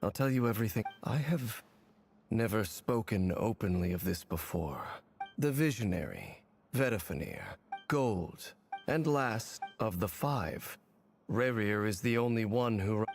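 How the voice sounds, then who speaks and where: A man puts on a character voice at a medium pitch, solemn in tone yet lively in intonation. He keeps a moderate pace and very even loudness, with long, frequent pauses over faint background music. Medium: video game. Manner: measured, solemn.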